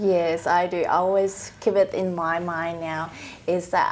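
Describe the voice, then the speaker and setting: A woman with a Vietnamese accent speaks at a fairly slow pace and a medium pitch. Her intonation stays fairly even. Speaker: trust accountant. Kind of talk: casual interview.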